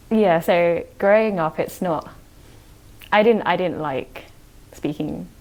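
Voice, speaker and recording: A woman with a British accent, fairly low in pitch and fairly slow in pace, on a very clean recording with a silent background. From UK, British-born Chinese. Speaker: podcast guest. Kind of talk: casual chat.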